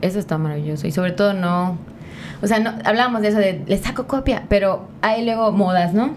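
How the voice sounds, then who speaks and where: A woman talks at a fairly quick pace and a medium pitch with ordinary pitch variation. Audible room echo and noticeable background noise fill the recording. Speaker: podcast host. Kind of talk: casual chat. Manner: animated.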